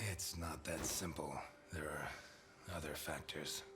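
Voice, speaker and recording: Over loud background noise, a man performs a put-on character voice. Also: moderate pace. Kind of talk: film noir dialogue. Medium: video game. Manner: dry, sardonic.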